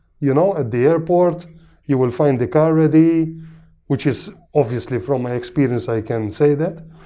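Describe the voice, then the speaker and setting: Speaking in a Maltese accent, a man uses a fairly high pitch with ordinary pitch variation at a moderate pace. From Malta. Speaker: patient. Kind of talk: testimonial interview. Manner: hesitant, many fillers.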